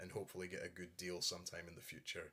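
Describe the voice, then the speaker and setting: A man talks with a Scottish accent. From Scotland. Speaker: YouTuber, collector. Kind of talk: casual show-and-tell.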